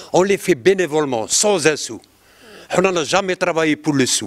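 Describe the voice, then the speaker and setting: A man with a high pitch talks at a fairly slow pace, using ordinary pitch variation against a quiet background. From Algeria. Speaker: ciné-club organizer. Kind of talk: public talk at film screening. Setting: screening room with audience. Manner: halting. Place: hall. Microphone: handheld.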